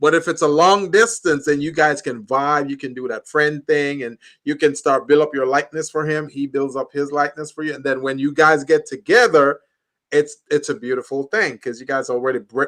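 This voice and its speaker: With a plain, everyday voice, a man talks at a fairly quick pace and a fairly high pitch, with ordinary pitch variation and big swings in loudness. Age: 60s. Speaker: talk show co-host, business coach. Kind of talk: casual chat.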